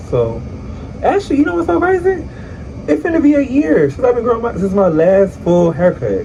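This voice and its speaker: Noticeable background noise sits behind a man whose high pitch makes very wide swings at a fairly quick pace. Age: 20s. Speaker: vlogger. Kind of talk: casual vlog talk. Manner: casual, chatty.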